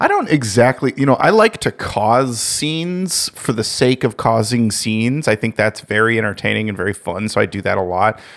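This man has an unremarkable speaking voice at medium pitch. He talks at a moderate pace with hardly any pauses. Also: ordinary pitch variation. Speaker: podcast co-host. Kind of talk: casual banter.

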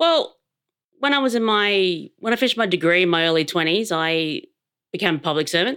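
A woman with an Australian accent speaks at a moderate pace in a fairly low pitch, her intonation lively. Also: very clean recording, silent background. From Adelaide, Australia. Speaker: public servant. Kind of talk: casual interview about mental health.

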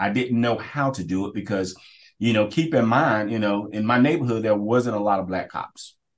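A man with an American accent and a plain, everyday voice talks at a moderate pace in a fairly low pitch with ordinary pitch variation over a quiet background. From Kinston, eastern North Carolina. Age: 40s. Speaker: police officer, school resource officer. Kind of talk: interview conversation.

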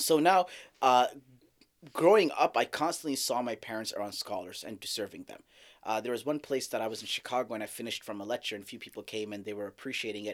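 A man with an American accent talks at a very fast pace with lively intonation. The recording is very clean, with a silent background. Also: medium pitch for a man. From Saudi Arabia. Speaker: Islamic scholar. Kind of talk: casual chat. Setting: studio.

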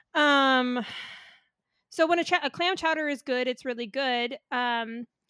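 A woman speaks in a raised, projected voice at a high pitch. Her pitch varies an ordinary amount. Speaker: panelist. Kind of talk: casual chat.

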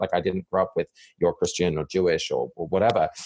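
With an English accent, a man speaks at a very fast pace in a dry, close sound with no echo. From England, village. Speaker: community researcher, divinity school fellow. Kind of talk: interview conversation.

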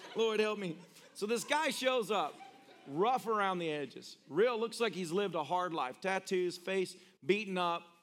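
With a Tennessee accent, a man speaks in an animated tone at a high pitch. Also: ordinary pitch variation, moderate pace. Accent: Tennessee Southern. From US South, Tennessee. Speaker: pastor. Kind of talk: sermon. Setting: church with live audience.

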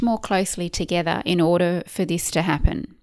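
A woman with an Australian accent speaks at a moderate pace and medium pitch with fairly even intonation on a very clean recording with a silent background. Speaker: podcast host, clinical nutritionist. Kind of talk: solo podcast monologue.

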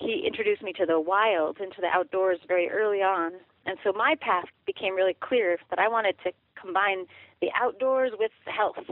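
A woman with an ordinary speaking voice talks at a fairly quick pace, medium in pitch with ordinary pitch variation. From Colorado, US. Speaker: author and wild food forager. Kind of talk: interview.

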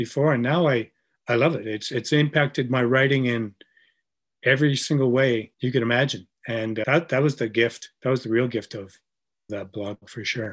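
A man with a Canadian accent uses a normal speaking voice at a medium pitch, with ordinary pitch variation and a moderate pace against a quiet background. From Canada. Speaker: brewery co-founder and writer. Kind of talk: casual chat.

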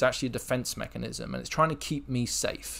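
It is a very clean recording with a silent background. The talking goes at a moderate pace. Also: man. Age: 30s. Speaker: podcast host, role-play hobbyist. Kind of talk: personal monologue. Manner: hesitant, many fillers and repetitions.

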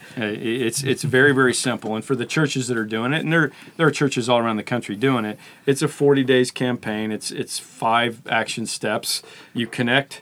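This is an unremarkable speaking voice with fairly even intonation. The pace is moderate. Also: man. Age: 50s. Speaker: pastor. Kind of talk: casual chat.

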